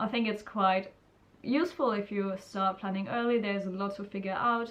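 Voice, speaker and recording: Speaking with an Austrian accent, a woman uses a medium pitch, ordinary pitch variation and a moderate pace. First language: German. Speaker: student vlogger. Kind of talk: casual vlog advice.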